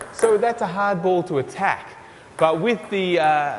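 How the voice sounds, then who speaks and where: A man with a high pitch speaks against noticeable background noise. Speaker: podcast host. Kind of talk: casual interview show presenting.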